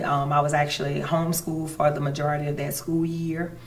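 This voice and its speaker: In a Louisiana accent, the speech is monotone and flat at a moderate pace, with audible room echo. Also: woman. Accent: Louisiana Southern US. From Louisiana, St. Landry Parish. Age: 40s. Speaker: judge. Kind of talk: interview. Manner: halting.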